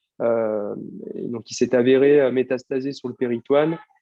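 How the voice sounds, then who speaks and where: A man is speaking. His intonation is fairly even. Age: 30s. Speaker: cancer patient. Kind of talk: testimony. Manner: halting, many fillers.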